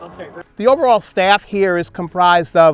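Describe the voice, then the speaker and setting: Music plays in the background as a man speaks. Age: 60s. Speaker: horse farm owner. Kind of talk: interview.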